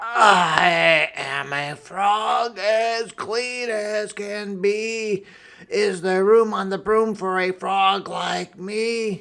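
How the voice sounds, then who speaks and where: A put-on character voice, croaky and fairly high in pitch, comes out at a very slow pace. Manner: polite, sing-song.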